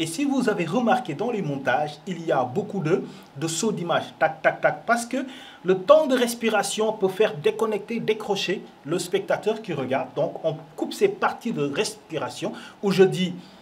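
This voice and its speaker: This man's pitch is high and his intonation lively. He speaks at a moderate pace. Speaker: film show host. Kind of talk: casual commentary. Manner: animated.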